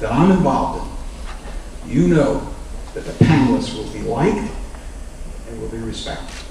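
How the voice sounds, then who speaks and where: Audible room echo and light background noise around a man's speech. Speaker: host introducing panel. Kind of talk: introductory remarks to audience. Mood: warm, lightly humorous. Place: hall.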